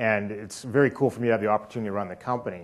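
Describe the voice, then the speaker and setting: A man with a Canadian accent talks at a very fast pace. His pitch is medium and his intonation fairly even. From Canada. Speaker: company executive. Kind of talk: keynote speech. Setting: stage with audience. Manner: casual, with many filler words.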